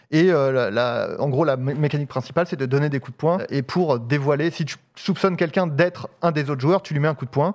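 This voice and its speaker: A man's unremarkable speaking voice, fairly high in pitch with ordinary variation, at a fairly quick pace with hardly any pauses, over a quiet background. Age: 30s. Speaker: comedian and director. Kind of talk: casual chat.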